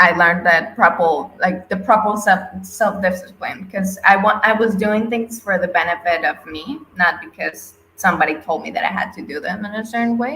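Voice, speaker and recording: Her tone is bright and sharp, with a medium pitch and ordinary pitch variation. The woman speaks at a moderate pace with a non-native accent. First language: not English. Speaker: NFT artist. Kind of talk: interview. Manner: halting.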